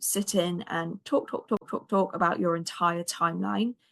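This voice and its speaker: A woman with a British accent, fairly low pitch, and moderate pace. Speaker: anxiety coach, podcast host. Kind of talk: podcast outro with program pitch.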